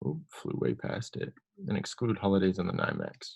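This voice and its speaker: There is vocal fry in this man's voice. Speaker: software demo presenter. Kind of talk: tutorial.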